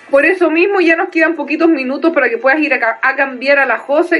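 A woman with a Chilean accent at a very fast pace. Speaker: podcast co-host. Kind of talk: casual chat.

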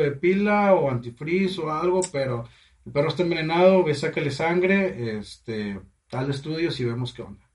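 With lively intonation and a moderate pace, this is an unremarkable speaking voice. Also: man. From Mexico, Matamoros, Tamaulipas. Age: 20s. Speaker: chef and funeral business owner. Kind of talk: casual chat.

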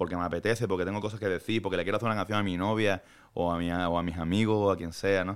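In a very clean recording with a silent background, a man speaks very fast with a very deep, low pitch and monotone, flat intonation. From Andalusia, Málaga. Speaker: singer-songwriter. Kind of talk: interview. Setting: studio on an 11th floor.

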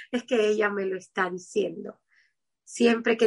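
A woman speaks with a plain, everyday voice at a medium pitch. Her pace is fairly slow and her intonation fairly even. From Cuba, Havana. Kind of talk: interview.

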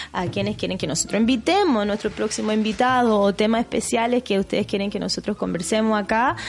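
Ordinary pitch variation marks a voice with a Chilean accent, heard over noticeable background noise. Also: woman. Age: 30s. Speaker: podcast co-host. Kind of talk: casual chat.

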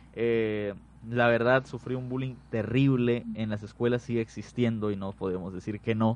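The man's intonation is monotone and flat. His pitch sits in the medium range. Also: moderate pace. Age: young. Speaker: paramedic rescuer. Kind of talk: radio interview.

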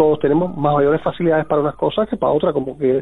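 This man speaks at a very fast pace. His voice is fairly high, with ordinary pitch variation. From Cuba. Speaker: tarot teacher and singer-songwriter. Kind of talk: interview. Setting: phone call.

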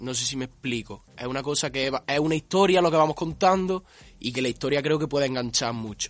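A man's fairly high voice, an ordinary speaking voice, at a fairly quick pace with ordinary pitch variation. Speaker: carnival group member. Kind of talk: interview.

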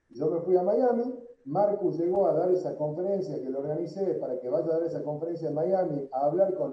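The speaker has a Tucumán accent. The pace is fairly quick. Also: man. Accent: Tucumán Argentine Spanish. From Argentina, Tucumán. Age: 40s. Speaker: entrepreneur. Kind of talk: interview.

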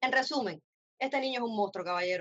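Pitched fairly high, a woman has a plain, everyday voice with ordinary pitch variation. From Cuba, Camagüey. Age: 30s. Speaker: radio co-host. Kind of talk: casual chat.

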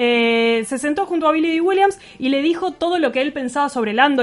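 Speaking with a Rioplatense accent, a woman moves at a fairly quick pace with lively intonation over noticeable background noise. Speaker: radio host. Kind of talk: radio show interview and chat. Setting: radio studio.

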